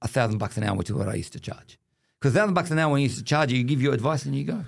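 Recorded very cleanly against a silent background, a man with an Australian accent speaks at a medium pitch. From Western Sydney, Australia. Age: 50s. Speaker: Islamic wealth management executive, former politician. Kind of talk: casual chat. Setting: studio.

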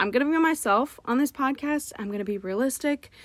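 Lively intonation marks this woman's speech at a moderate pace. The recording is very clean, with a silent background. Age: 20s. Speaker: podcast host, college student. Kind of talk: casual solo monologue. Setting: sitting in a closet. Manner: casual, many fillers.

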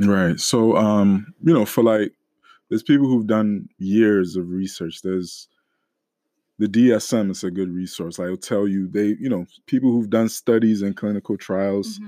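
On a very clean, dry and close recording with a silent background and no echo, a man with a dark, mellow tone and fairly low pitch speaks at a fairly slow pace with ordinary pitch variation. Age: young. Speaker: church deacon sharing mental health story. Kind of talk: testimony.

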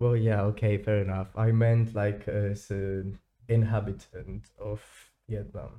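A man's fairly low, dark and mellow voice, fairly slow and flat in a monotone, over a quiet background. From Spain. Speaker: student podcast co-host. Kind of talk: casual chat.

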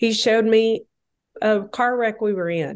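A woman with a fairly high pitch, ordinary pitch variation and an unremarkable speaking voice. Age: 50s. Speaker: author and speaker. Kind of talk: casual chat.

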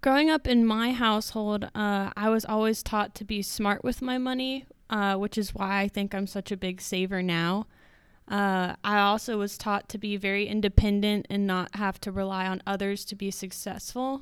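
A woman with a plain, everyday voice at medium pitch and a moderate pace, with fairly even intonation, on a very clean recording with a silent background. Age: 20s. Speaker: college student and marketing director. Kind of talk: interview answers.

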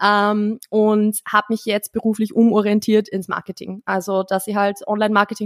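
Here is a woman with a normal speaking voice and a medium pitch. Her intonation is fairly even, and she keeps a moderate pace. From Austria, rural. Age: 20s. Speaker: marketing consultant and former fitness coach. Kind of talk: casual chat.

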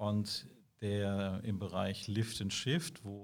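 The speaker is a man. His pitch sits fairly low. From southwestern Germany, Karlsruhe. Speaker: IT security sales executive. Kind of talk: interview. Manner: hesitant with many fillers.

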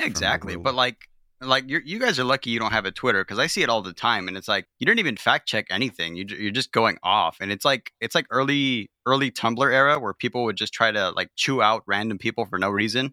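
Speaking at a fairly quick pace with an American accent, a man has a bright, sharp tone and ordinary pitch variation, recorded with a dry, close sound and no echo. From rural California. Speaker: podcast guest, fellow podcaster.

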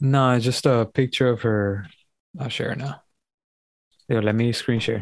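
At a fairly slow pace and medium pitch, a man talks with fairly even intonation and long, frequent pauses. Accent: Miami. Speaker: podcast co-host. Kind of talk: casual chat.

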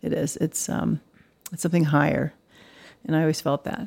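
A woman speaks with an American accent. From Dallas, Texas. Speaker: artist. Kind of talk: casual interview chat. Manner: animated.

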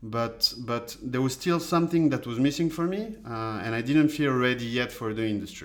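A man at a medium pitch speaks with a French accent and ordinary pitch variation. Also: moderate pace, hardly any pauses. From France. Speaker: data scientist. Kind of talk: interview.

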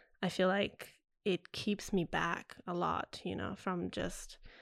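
On a very clean recording with a silent background, a woman speaks at medium pitch with fairly even intonation and vocal fry. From Italy. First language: Italian. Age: 20s. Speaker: actor. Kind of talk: casual chat.

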